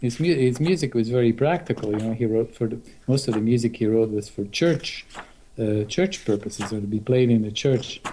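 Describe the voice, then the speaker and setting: A man talks at a fairly quick pace with a dark, mellow tone. His pitch is medium, with ordinary variation. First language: not English. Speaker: guitarist. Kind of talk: casual interview.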